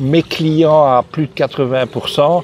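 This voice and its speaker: There is noticeable background noise behind a man whose voice has a dry, close sound with no echo. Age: 60s. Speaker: private detective. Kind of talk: interview. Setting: Pattaya.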